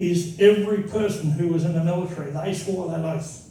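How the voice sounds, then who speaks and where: A man with an Australian accent speaks at a moderate pace in a high pitch, his intonation monotone and flat, with audible room echo. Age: 70s. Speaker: speaker on legal rights, former police officer. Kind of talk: public talk with audience questions.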